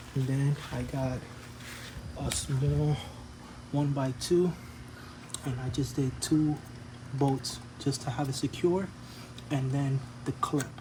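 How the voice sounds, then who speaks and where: Mumbling at a very slow pace, the speaker keeps a fairly even intonation and leaves long, frequent pauses. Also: man, medium pitch for a man. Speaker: DIY home-improvement vlogger. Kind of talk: casual tutorial. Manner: casual with many fillers.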